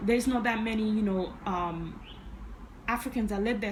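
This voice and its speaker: A woman speaks over noticeable background noise. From Uganda (Kampala), moved to US at about nine. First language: Ugandan language. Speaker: vlogger. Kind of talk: personal story vlog.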